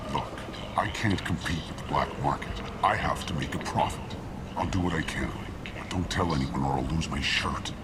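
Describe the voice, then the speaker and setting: A man puts on a character voice with a very deep, low pitch. He keeps a moderate pace over loud background noise. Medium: machinima. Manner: terse, hostile toward humans.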